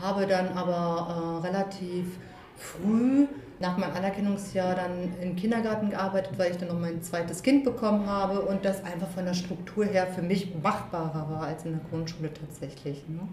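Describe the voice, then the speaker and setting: Medium-pitched speech from a woman at a moderate pace with ordinary pitch variation, amid noticeable background noise and audible room echo. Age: 40s. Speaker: school social worker. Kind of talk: casual interview. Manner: hesitant with fillers.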